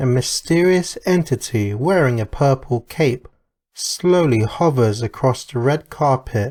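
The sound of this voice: Over a quiet background, lively intonation marks an unforced reading voice.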